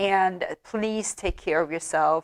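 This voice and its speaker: A speaker with a non-native accent uses fairly even intonation on a very clean recording with a silent background. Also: woman. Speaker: true crime YouTuber. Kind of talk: casual storytelling commentary. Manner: halting, many fillers.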